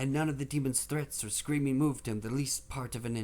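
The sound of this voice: The voice reads aloud in an unforced way.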